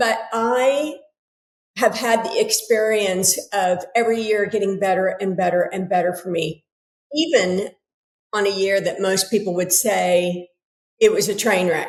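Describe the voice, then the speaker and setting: A woman with a General American accent speaks in a plain, everyday voice at a medium pitch. Her pace is fairly slow, with ordinary pitch variation. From United States. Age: 60s. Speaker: author and yoga teacher. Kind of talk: casual interview conversation.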